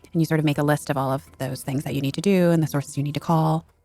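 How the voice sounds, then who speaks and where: A woman with an American accent speaks very fast at a very deep, low pitch with fairly even intonation. Music plays in the background, and the sound is dry and close, with no echo. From US West Coast, Seattle area. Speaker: writer and former fact checker. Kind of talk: interview.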